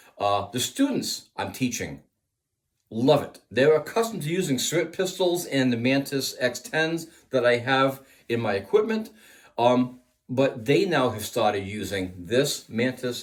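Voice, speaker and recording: At a fairly slow pace, a man with a plain, everyday voice speaks at medium pitch with lively intonation. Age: 60s. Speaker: firearms instructor. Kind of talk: product review.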